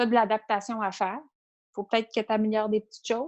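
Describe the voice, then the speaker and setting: A woman with a fairly high pitch is heard in a dry, close sound with no echo and a quiet background. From Quebec. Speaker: entrepreneur and cookbook author. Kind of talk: interview. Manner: animated.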